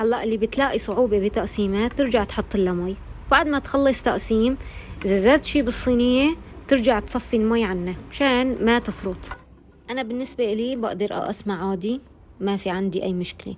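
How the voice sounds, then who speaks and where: In an Aleppo accent, a woman talks at a moderate pace in a fairly high pitch with ordinary pitch variation. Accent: Aleppo Syrian Arabic. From Syria, Aleppo. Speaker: cooking channel host. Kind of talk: cooking tutorial.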